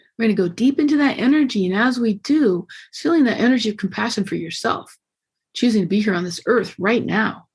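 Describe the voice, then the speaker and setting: With an animated tone and lively intonation, a woman speaks at a fairly quick pace in a somewhat breathy, fairly high-pitched voice. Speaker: podcast host. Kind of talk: guided meditation. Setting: video call. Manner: fast.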